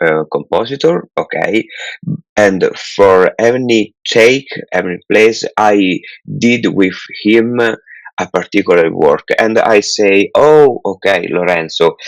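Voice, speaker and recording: A man speaks at a very slow pace with an Italian accent and very even loudness. The sound is dry and close, with no echo. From Italy. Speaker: film director. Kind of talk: interview. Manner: halting, many fillers.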